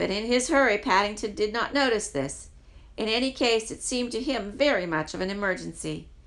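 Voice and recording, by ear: This is someone reading aloud in a natural voice. The intonation is lively.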